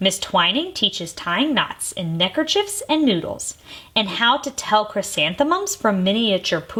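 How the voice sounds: The clip features a natural reading voice. It is heard throughout.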